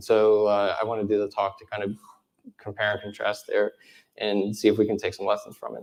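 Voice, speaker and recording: A man talking at a fairly quick pace, his loudness swinging widely. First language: American Sign Language. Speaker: conference speaker, web developer. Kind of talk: conference talk.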